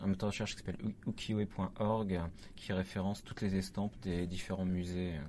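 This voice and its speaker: Speaking at a fairly slow pace, a man with a fairly low pitch and a dark, mellow tone keeps a monotone, flat intonation. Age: 30s. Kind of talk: interview.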